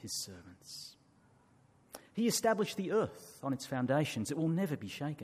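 A man speaks at a moderate pace in a fairly high, somewhat breathy voice, his pitch swinging very widely. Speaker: scripture reader. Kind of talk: reading aloud. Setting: church.

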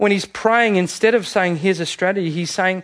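Speaking with an Australian accent, a man sounds animated, his pitch high. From Australia, Sydney. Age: 30s. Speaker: pastor. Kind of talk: sermon.

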